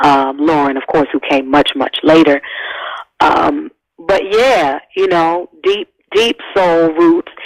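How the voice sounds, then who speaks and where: With an American accent, a woman speaks very slowly in a fairly low voice with lively intonation, recorded dry and close with no echo. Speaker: singer-songwriter and activist. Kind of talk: interview conversation.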